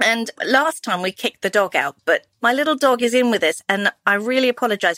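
With a fairly bright tone, the speaker goes at a fairly quick pace in a dry, close sound with no echo. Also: woman.

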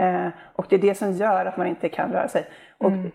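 Pitched at a medium level, a woman talks at a fairly quick pace with vocal fry. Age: 50s. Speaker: healer. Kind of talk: casual chat.

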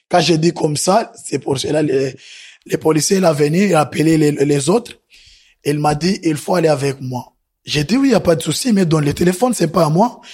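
At a moderate pace, a man speaks with a fairly high voice. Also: ordinary pitch variation. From Burundi. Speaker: asylum seeker. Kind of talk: testimony. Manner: halting.

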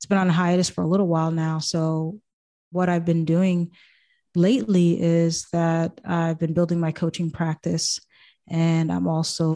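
A woman with an American accent and a fairly low pitch, in a dark, mellow tone and monotone, flat intonation, at a moderate pace, on a very clean recording with a silent background. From Boston, US. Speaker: life coach and podcast host. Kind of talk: casual interview chat.

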